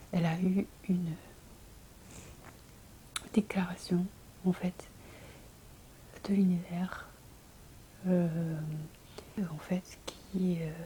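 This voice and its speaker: Soft-spoken and gentle in tone, a woman speaks at a fairly low pitch in a monotone, flat intonation. Long, frequent pauses break up her speech against noticeable background noise. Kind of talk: ASMR bedtime talk with soft guided meditation. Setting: home video, close to microphone. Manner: soft-spoken, gentle, low voice.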